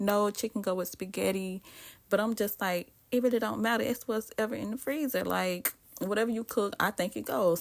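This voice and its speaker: Speaking in a Southern US accent, a woman moves at a fairly quick pace. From US South. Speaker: cooking vlogger. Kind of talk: cooking tutorial. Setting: home kitchen. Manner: casual, chatty.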